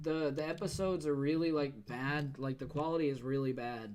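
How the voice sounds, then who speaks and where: Audible room echo surrounds speech with ordinary pitch variation. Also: man. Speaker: game developer and streamer. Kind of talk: casual chat. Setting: live stream. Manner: stutters when drawing.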